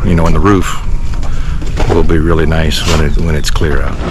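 A man speaks with noticeable background noise. The sound is dry, with no echo. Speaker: builder vlogger. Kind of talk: casual vlog chat. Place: open country. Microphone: phone near.

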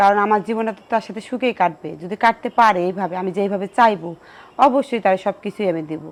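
With a plain, everyday voice, a woman speaks at a medium pitch with ordinary pitch variation. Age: 30s. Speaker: widow seeking remarriage. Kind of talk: interview.

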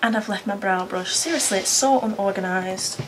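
Over noticeable background noise, a woman with a British accent talks at a moderate pace, her fairly high voice rising and falling in lively intonation. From United Kingdom. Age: 20s. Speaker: beauty vlogger, mum. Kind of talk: casual talk to camera. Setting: indoors by a window, traffic noise. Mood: relaxed, self-deprecating. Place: home room. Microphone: camera far.

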